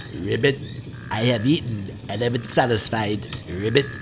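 A man puts on a character voice at a medium pitch. He keeps a moderate pace over clear background noise. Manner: croaky, demanding.

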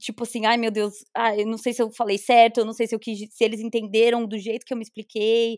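A woman's fairly high, monotone voice at a fairly quick pace with hardly any pauses, in a very clean, dry, close recording with no echo and a silent background. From Brazil. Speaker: podcast co-host. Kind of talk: casual chat.

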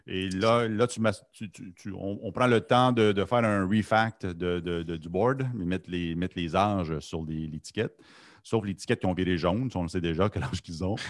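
A man's very deep, low voice at a moderate pace, with ordinary pitch variation and a quiet background. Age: 50s. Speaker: podcast co-host. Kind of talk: casual chat.

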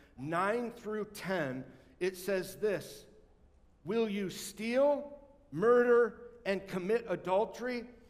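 In a room with audible echo, a man speaks very slowly with ordinary pitch variation. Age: 50s. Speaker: pastor. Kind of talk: sermon. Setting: church.

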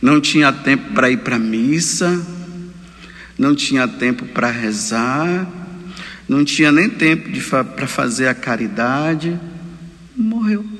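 Fairly slow speech with very wide pitch swings and long, frequent pauses over noticeable background noise. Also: man, fairly high pitch for a man. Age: 50s. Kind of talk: homily. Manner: animated.

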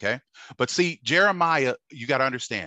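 A man's bright, sharp tone with lively intonation at a moderate pace, dry and close with no echo over a quiet background. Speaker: preacher. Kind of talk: sermon. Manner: preacher in full flow: urgent, forceful, pounding repetition, warning tone; halting with filler words in calmer stretches.

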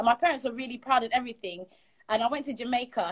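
A woman's high voice at a very fast pace. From Ghana, raised in London. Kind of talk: casual interview, storytelling.

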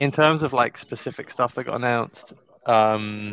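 A man with an unremarkable speaking voice talks at a medium pitch with ordinary pitch variation, in a dry, close sound with no echo. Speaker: crypto show co-host. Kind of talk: casual chat. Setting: co-working space with headset.

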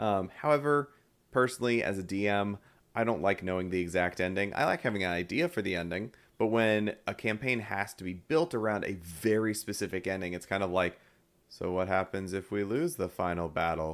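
Against a silent background in a very clean recording, a man with an ordinary speaking voice talks at a fairly quick pace with ordinary pitch variation. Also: fairly low pitch for a man. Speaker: podcast co-host. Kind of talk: casual chat.

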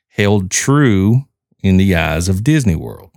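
On a very clean recording with a silent background, a man speaks with a very deep, low pitch and a Southern US accent. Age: 40s. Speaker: podcast host. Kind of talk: casual podcast monologue.

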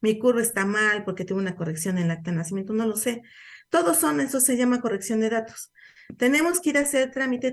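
Against a quiet background, a woman with a Mexican accent talks at a fairly quick pace and a fairly high pitch. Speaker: radio host, social security advisor. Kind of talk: educational radio talk. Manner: conversational, informal.

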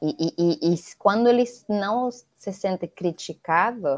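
Woman at medium pitch with a Spanish accent, at a very slow pace. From Venezuela. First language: Spanish (speaking Portuguese). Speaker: NGO founder, educator. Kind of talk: interview.

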